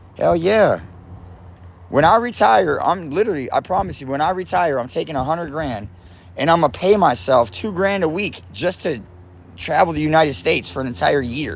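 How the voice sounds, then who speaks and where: With an American accent, a man talks at a fairly quick pace in a fairly high pitch, his animated tone and lively intonation carrying some vocal fry. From South Florida (Lake Worth, Palm Beach). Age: 40s. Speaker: livestreamer. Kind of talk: casual livestream chat. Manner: loud.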